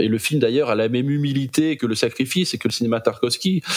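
A man talks very fast with ordinary pitch variation, over noticeable background noise. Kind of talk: casual chat about films.

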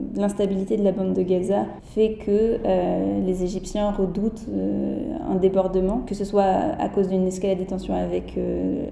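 A woman takes her words rather slowly amid clear background noise and audible room echo. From France, Berry. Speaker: political science doctoral researcher. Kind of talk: interview. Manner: halting.

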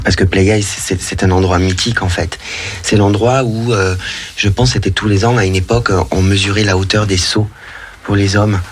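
Through noticeable background noise, the speech moves at a moderate pace with long, frequent pauses, fairly even intonation, and very even loudness. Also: man, fairly low pitch for a man. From southern France, Narbonne. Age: 30s. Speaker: professional dancer. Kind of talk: radio interview.

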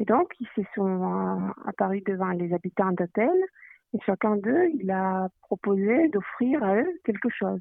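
A woman with a Greek accent speaks at a very slow pace in a medium pitch. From Greece, Athens. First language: Greek (speaking French). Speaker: interviewee from Greece. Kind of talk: casual interview. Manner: halting.

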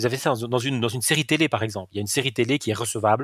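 Here a man talks at a very fast pace. The sound is dry and close with no echo, the recording very clean against a silent background. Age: 50s. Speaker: e-learning company CEO, former philosophy lecturer. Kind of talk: interview. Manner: frequent repetitions and hesitations.

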